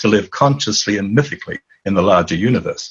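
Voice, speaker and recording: The man's fairly quick speech has a somewhat breathy sound. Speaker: author and dream teacher. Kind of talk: interview. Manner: animated.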